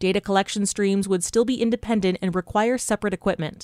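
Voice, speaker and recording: A woman at a fairly quick pace with ordinary pitch variation, dry and close with no echo, in a very clean recording with a silent background. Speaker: radio news anchor. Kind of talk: news reading. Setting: studio.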